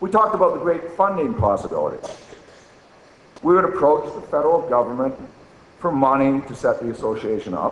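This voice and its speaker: The voice is loud, with lively intonation, a fairly quick pace and long, frequent pauses. Audible room echo and noticeable background noise fill the recording. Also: man, high pitch for a man. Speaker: archaeologist. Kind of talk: conference talk, reading an essay extract. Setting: conference with audience and microphone.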